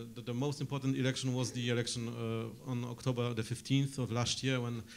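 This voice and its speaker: A man speaks with a Polish accent at a medium pitch, his intonation monotone and flat. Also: fairly quick pace. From Poland. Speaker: journalist and political scientist. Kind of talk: conference panel talk. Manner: hesitant, many fillers.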